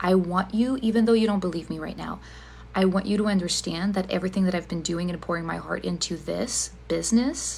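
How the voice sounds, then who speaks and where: A woman with a non-native accent speaks at a fairly quick pace on a very clean recording with a silent background. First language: not English. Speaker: ADHD coach. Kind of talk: direct-to-camera explanation video.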